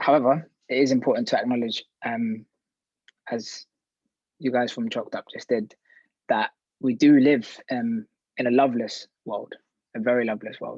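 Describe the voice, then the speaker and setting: A man with a London accent talks at a moderate pace and medium pitch. His intonation is fairly even, and he leaves long, frequent pauses. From West London. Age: 30s. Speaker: activist. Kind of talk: panel talk.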